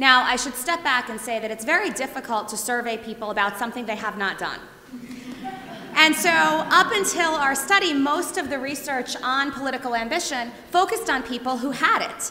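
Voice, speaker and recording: Raising and projecting her voice, a woman speaks fairly quickly in a high pitch with lively intonation, amid audible room echo and noticeable background noise. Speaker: professor. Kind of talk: lecture. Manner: loud.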